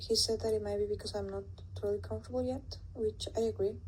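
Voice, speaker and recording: This woman's voice has a dark, mellow tone, somewhat breathy and delivered with monotone, flat intonation. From Latin America. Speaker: student. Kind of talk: class presentation. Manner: hesitant, with fillers.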